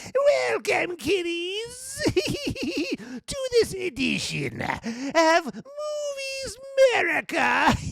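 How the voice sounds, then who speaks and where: A man's put-on character voice, shouting in a theatrical tone at an extremely high pitch, with very wide pitch swings, a very slow pace and light background noise. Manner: creepy, cackling, theatrical.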